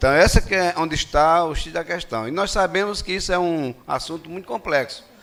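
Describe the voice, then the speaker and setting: A man speaks at a moderate pace, his voice fairly high in pitch with ordinary pitch variation. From Rio Grande do Norte, Brazil (Natal). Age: 60s. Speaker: retired police officer speaking at a public hearing. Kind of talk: public hearing speech. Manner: halting, with fillers and repetitions.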